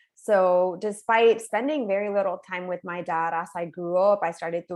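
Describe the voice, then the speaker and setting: A woman speaks at a moderate pace with a Spanish accent, her pitch medium and its variation ordinary. The background is quiet. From Puerto Rico. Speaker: neuroscience professor. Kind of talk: webinar talk.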